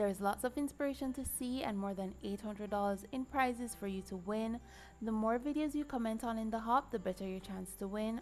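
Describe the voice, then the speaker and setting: Fairly quick delivery with somewhat breathy quality and normal rise and fall in pitch. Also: woman, fairly high pitch for a woman. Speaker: card maker. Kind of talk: craft tutorial talk to camera.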